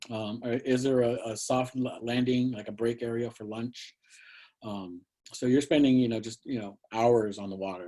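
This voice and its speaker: Dark, mellow tone at a moderate pace, with fairly even intonation and big swings in loudness. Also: man, medium pitch for a man. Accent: American. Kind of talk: Q&A in an online presentation. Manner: halting, many fillers and repetitions.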